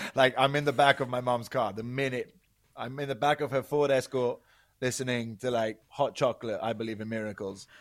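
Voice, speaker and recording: In a British accent, the voice moves at a fairly quick pace with fairly even intonation in a very clean recording with a silent background. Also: man, medium pitch for a man. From UK. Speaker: podcast guest. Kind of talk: casual chat.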